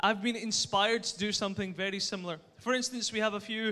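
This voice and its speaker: Using a raised, projected voice, a man with a Scottish accent speaks at a high pitch and fairly quick pace, his bright, sharp tone carrying fairly even intonation. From Scotland. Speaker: startup pitch presenter. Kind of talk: pitch presentation.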